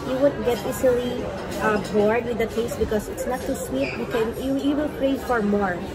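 Crowd noise carries in the background. The speech moves at a moderate pace. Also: woman. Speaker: food vlogger. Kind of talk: casual vlog chat. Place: cafe. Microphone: phone near.

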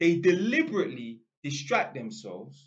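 With an animated tone and very wide pitch swings, a man talks in a London accent. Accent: London Multicultural English. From London, England. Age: 30s. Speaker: YouTuber. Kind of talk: casual monologue rant. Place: home room. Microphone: webcam.

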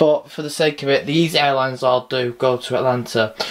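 The background is quiet. The speech moves at a moderate pace. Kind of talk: casual vlog tour commentary. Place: home room. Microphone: phone near.

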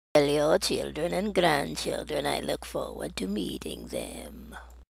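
A raspy, put-on character voice with a smug, theatrical tone at a fairly slow pace. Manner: smug, theatrical, menacing.

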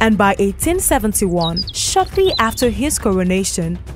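A woman talks at a middling speed while music plays behind her. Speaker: voice actor. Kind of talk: radio documentary narration. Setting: radio broadcast.

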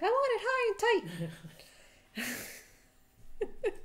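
Extremely high-pitched, a put-on character voice

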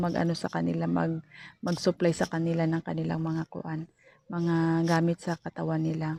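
A woman's dark, mellow voice, fairly low in pitch, at a moderate pace, in a dry, close sound with no echo. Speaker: vlogger and sari-sari store owner. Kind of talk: casual vlog.

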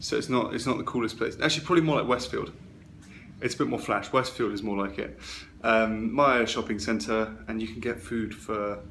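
Over light background noise, a man talks at a fairly quick pace with vocal fry and lively intonation. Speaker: traveller vlogger. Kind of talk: casual vlog chat. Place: home room. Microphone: phone near.

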